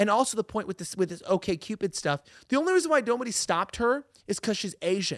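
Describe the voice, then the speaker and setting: The speech is very fast, with lively intonation and a Californian accent. The recording is very clean and dry, close-miked with no echo and a silent background. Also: man. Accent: Californian American. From Los Angeles. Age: 20s. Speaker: political commentary host. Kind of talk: casual chat.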